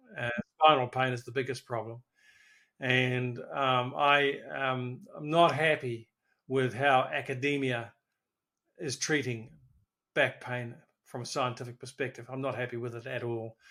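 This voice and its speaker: With long, frequent pauses, a man speaks in a monotone, flat intonation while his loudness swings widely. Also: medium pitch for a man, fairly slow pace. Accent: New Zealand. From New Zealand. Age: 70s. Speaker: physiotherapist. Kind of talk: interview. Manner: halting.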